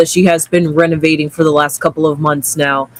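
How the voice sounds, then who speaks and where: A man's fairly high voice with fairly even intonation over noticeable background noise. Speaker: tarot reader. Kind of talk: casual chat.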